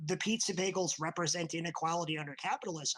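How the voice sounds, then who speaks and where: A man whispers in a breathy, put-on character voice. His tone is theatrical and his pace very fast. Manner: theatrical stage whisper, loud and breathy.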